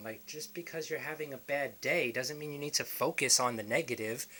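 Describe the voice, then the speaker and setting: A fairly high-pitched man with a New York accent, lively intonation and a moderate pace. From New York City, the Bronx. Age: 20s. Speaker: motivational vlogger. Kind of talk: motivational talk to camera.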